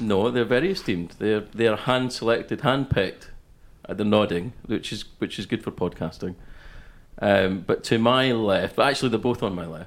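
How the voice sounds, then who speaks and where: Lively intonation from a man with a Scottish accent, medium pitch and a moderate pace. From west coast of Scotland. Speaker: podcast co-host. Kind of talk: casual chat.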